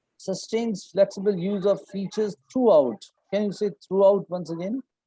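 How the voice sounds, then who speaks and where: Speaking with a Punjabi accent, a man uses a high pitch, a dark, mellow tone and fairly even intonation at a moderate pace, the sound dry and close with no echo. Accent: Indian English (Punjabi). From Punjab, India. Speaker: English test coach. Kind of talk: online class. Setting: video call.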